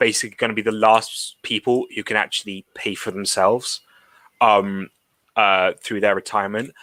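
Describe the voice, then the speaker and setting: Ordinary pitch variation and a bright, sharp tone come through a dry, close sound with no echo on a very clean recording with a silent background. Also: man. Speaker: panelist on political talk show. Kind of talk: casual political discussion. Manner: stammers a lot.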